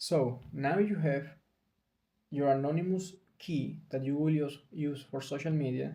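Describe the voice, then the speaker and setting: A man's fairly high, somewhat breathy voice with a dark, mellow tone, a non-native accent and fairly even intonation, in audible room echo. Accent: non-native English speaker. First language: Spanish. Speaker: video blogger. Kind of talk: casual talk to camera. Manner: halting, with self-corrections.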